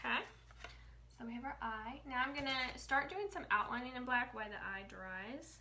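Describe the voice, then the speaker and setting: The speaker uses lively intonation at a moderate pace, with audible room echo and noticeable background noise. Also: woman, high pitch for a woman. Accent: American. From Indiana, US Midwest. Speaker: painting instructor and sign artist. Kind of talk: live-stream painting tutorial. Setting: live stream reading comments. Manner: casual, chatty; quiet.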